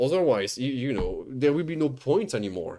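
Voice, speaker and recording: Speaking with a non-native accent, the voice has a dark, mellow tone and very wide pitch swings. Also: man. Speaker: streamer reacting to videos. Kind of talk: live stream reaction commentary. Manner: animated, stammering.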